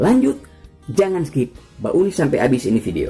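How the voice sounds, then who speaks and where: A man's pitch leaps very widely as he talks at a moderate speed over background music. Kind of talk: casual science explainer narration. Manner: humorous, chatty.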